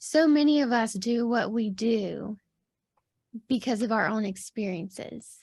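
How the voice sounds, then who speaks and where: A soft-spoken woman speaks at a fairly slow pace. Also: fairly high pitch for a woman, ordinary pitch variation. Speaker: podcast host. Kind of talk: casual interview chat.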